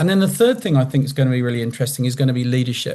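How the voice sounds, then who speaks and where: A man speaks at a fairly high pitch in a somewhat breathy voice. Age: 60s. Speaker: customer panelist, data leader. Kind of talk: panel discussion. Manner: animated.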